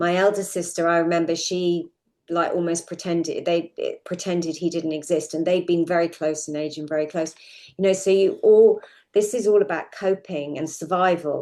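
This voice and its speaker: A woman speaks at a moderate pace in a fairly low, dark, mellow tone. Her intonation is flat and monotone. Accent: southern English. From London suburbs, England. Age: 60s. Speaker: podcast guest sharing personal story. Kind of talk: interview testimony.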